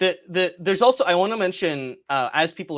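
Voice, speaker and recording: A man with a Canadian accent talks with very wide pitch swings. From Canada. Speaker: software company representative. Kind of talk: webinar presentation. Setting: live stream. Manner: fast.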